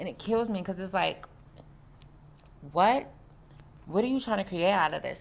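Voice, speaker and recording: An animated tone at a moderate pace. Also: woman. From US South. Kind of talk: casual interview chat.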